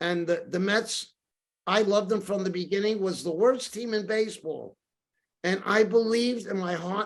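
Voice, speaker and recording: A man with a high voice speaks with a New York accent and fairly even intonation. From New York City, Brooklyn and Queens. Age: 60s. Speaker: storyteller and author. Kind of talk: podcast interview. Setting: podcast.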